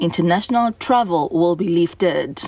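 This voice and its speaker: Noticeable background noise sits behind a woman's voice. She keeps a moderate pace with ordinary pitch variation. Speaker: radio newsreader. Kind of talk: news reading. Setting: radio studio broadcast. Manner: formal, brisk and even-toned, newsreader delivery.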